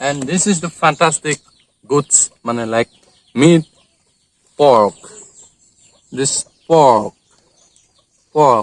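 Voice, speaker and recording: Heard as a dry, close sound with no echo, a man with an Assam accent and a fairly high pitch speaks at a very slow pace, with ordinary pitch variation and long, frequent pauses. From Assam, India. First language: Assamese. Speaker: cooking video vlogger. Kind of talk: cooking tutorial. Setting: outdoors at a bathing place. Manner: halting.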